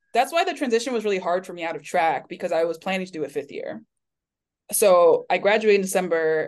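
Using a plain, everyday voice, a woman with an American accent talks at a medium pitch with lively intonation. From Florida, US. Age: 20s. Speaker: PhD candidate and researcher. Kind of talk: casual interview chat.

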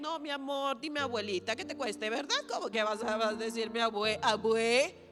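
The speaker is a woman with an animated tone. She keeps her delivery at a moderate speed. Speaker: pastor. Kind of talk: sermon. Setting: church.

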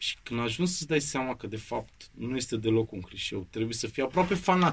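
This man talks at a moderate pace with hardly any pauses, his medium-pitched voice somewhat breathy. His intonation is lively. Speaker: actor and drama school head. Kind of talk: interview. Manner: animated.

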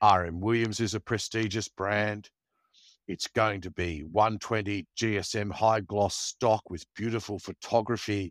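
A man's fairly low voice with an Australian accent, fairly slow and fairly even in intonation, with a dry, close sound and no echo. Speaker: podcast co-host. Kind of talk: casual chat. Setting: video call from a caravan.

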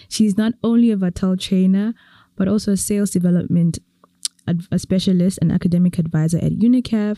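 Her voice, a woman's, is medium in pitch with a dark, mellow tone. She moves at a fairly quick pace and keeps her loudness very even. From Eswatini. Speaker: podcast host. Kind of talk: interview conversation.

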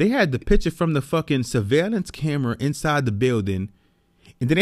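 Fairly quick and fairly high-pitched, a man talks with lively intonation. The recording is very clean with a silent background. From New York City (the Bronx). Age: 30s. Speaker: podcast host. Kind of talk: personal monologue. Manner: casual.

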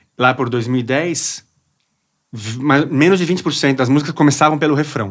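A man talks fairly slowly at a fairly high pitch, with ordinary pitch variation and a plain, everyday voice. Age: 40s. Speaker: music journalist, DJ and drummer. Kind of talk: casual chat.

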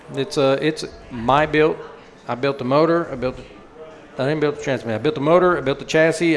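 Noticeable background noise sits behind this man. His pitch variation is ordinary. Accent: American. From Colorado, Denver. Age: 40s. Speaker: drag racing champion. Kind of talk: interview.

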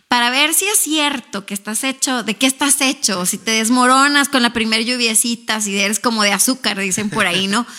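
This woman has a fairly high pitch and a Mexican accent. She speaks at a fairly quick pace over noticeable background noise. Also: ordinary pitch variation. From northern Mexico, Ciudad Juárez. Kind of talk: casual interview; testimony.

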